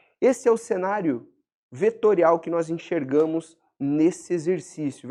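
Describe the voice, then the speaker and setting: The man's voice sits high in pitch. His tone is dark and mellow. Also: quiet background. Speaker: biomechanics teacher / personal trainer educator. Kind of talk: lecture.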